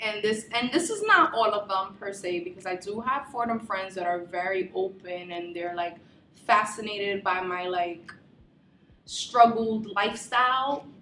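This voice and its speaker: Noticeable background noise runs behind a woman with a Bronx accent. Her medium pitch shows ordinary variation, and her pace is moderate. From the Bronx, New York City. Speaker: university student. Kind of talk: documentary interview. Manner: casual, many filler words.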